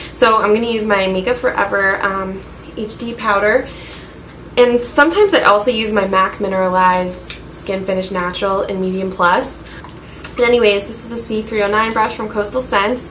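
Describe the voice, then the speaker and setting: A woman speaks at a moderate pace amid audible room echo and noticeable background noise. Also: medium pitch for a woman. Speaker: beauty vlogger. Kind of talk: makeup tutorial. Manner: monotone; casual, hesitant with fillers.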